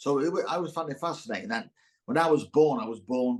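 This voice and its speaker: A man with a Teesside accent, fairly high in pitch, at a very fast pace. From northern England, Middlesbrough, Teesside. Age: 60s. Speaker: actor. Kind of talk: casual chat. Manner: halting.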